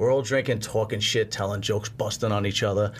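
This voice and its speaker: Delivery is very fast and somewhat breathy, in a Brooklyn accent. The intonation stays monotone and flat. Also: man. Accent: New York (Brooklyn). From Brooklyn, New York. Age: 40s. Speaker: podcast host and bodybuilder. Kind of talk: casual chat.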